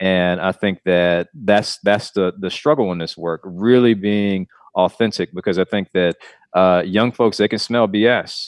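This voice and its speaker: Here a man with an American accent speaks at a very deep, low pitch. His pace is fairly slow and his intonation fairly even. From US South, Clarkston near Atlanta, Georgia. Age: 30s. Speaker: nonprofit CEO in youth mentoring. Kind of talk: interview.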